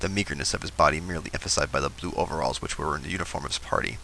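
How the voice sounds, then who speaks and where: Noticeable background noise accompanies speech delivered at a very fast speed. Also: man. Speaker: YouTuber. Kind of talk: reading aloud; casual vlog intro. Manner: halting, stumbling reading.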